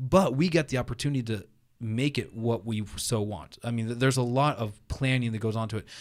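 In a very clean recording with a silent background, a man speaks fairly quickly in a normal speaking voice, at medium pitch with ordinary pitch variation. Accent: American. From New England, US (New Hampshire). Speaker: Lutheran pastor. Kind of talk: casual interview.

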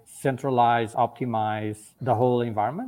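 With a Portuguese accent, a man speaks in a monotone, flat intonation. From Portugal. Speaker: technology executive. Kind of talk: interview.

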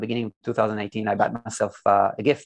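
A man with vocal fry at a fairly quick pace on a very clean recording with a silent background. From Israel. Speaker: entrepreneur and design agency founder. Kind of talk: interview.

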